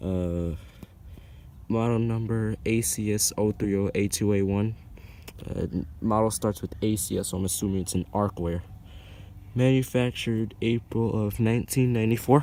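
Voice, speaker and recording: Quiet and dark, mellow in tone, a man speaks at a fairly low pitch and moderate pace with fairly even intonation and long, frequent pauses. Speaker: HVAC enthusiast vlogger. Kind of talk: casual video narration. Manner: quiet, early morning; halting, many fillers.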